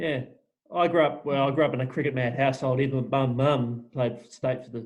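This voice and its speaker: Fairly quick and fairly even in intonation, a man with an Australian accent speaks at a medium pitch with big swings in loudness. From Western Australia, small town south of Perth. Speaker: podcast host. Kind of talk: casual interview chat.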